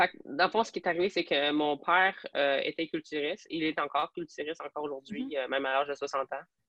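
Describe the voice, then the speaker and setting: The speech rushes along at a very fast pace with hardly any pauses and ordinary pitch variation. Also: woman, very deep, low pitch for a woman. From Alberta, francophone community, then Quebec from age 12. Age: 20s. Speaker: police trainee and fitness athlete. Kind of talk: podcast interview.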